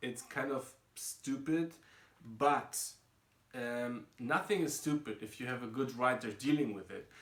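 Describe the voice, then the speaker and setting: Loudness swings widely as a man speaks at a fairly slow pace. His pitch is medium, with ordinary variation. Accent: non-native. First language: not English. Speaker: comic book reviewer. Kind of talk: casual talk to camera.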